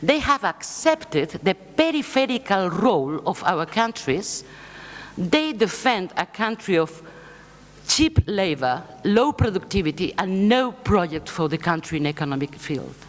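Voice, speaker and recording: Over noticeable background noise, a woman with a Spanish accent speaks at a fairly slow pace with very wide pitch swings. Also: medium pitch for a woman. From Spain. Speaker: left-wing political foundation leader. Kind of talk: conference speech.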